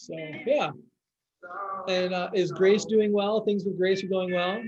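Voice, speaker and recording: A man speaks loudly in a high pitch with fairly even intonation. The room echo is audible. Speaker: biology teacher. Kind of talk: parent-teacher video meeting chat.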